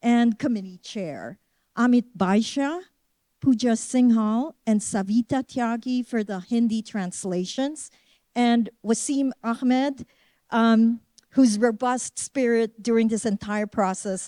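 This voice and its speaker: Speaking at a fairly slow pace in a Filipino accent, a woman with fairly high pitch and ordinary pitch variation is heard on a very clean recording with a silent background. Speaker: museum curator. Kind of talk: formal closing remarks and acknowledgments. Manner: formal.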